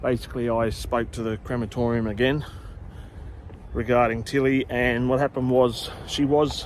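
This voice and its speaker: With an Australian accent, a man talks at a moderate pace and medium pitch in a monotone, flat intonation, with noticeable background noise behind him. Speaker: cemetery tour video host. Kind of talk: casual vlog talk. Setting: outdoors in a cemetery. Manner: quiet.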